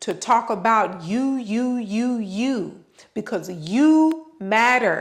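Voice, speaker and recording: A woman's high-pitched, drawling voice at a very slow pace. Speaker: yoga channel host / vlogger. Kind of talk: motivational talk. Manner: casual, conversational.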